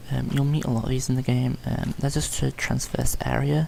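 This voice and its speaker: A man is mumbling. He speaks at a moderate pace. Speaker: gaming youtuber. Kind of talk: gameplay commentary tutorial. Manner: hesitant, many ums.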